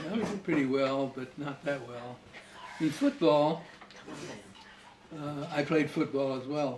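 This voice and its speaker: Noticeable background noise runs under a man speaking at a fairly slow pace with long, frequent pauses. His pitch is fairly high and his intonation fairly even, while his loudness swings widely. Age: old. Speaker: grandfather. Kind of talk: interview answer. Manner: casual, reminiscing.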